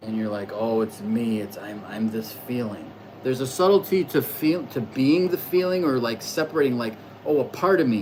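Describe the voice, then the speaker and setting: The speaker talks at a moderate pace. Noticeable background noise runs underneath. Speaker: astrology livestreamer. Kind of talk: casual livestream monologue. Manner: loud.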